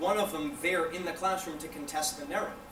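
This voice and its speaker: A fairly quick pace with noticeable background noise and audible room echo. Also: man. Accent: Canadian. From Canada. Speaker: invited lecturer. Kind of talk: Q&A after a lecture. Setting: university lecture hall with audience.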